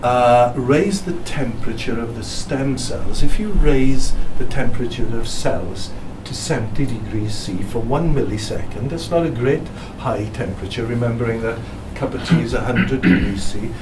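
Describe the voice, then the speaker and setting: A medium-pitched man with a Welsh accent, lively intonation, a moderate pace and big swings in loudness, plus noticeable background noise and audible room echo. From South Wales. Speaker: physicist. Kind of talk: presentation.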